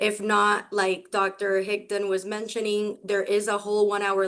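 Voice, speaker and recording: The delivery comes in a Spanish accent at a moderate pace. The intonation stays monotone and flat. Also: woman. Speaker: professor. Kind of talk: lecture. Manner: hesitant, many fillers.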